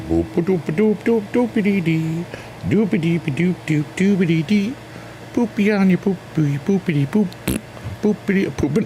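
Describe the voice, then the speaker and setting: A man at a moderate pace, with ordinary pitch variation and very even loudness, over noticeable background noise. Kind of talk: casual livestream chat. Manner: playful, relaxed.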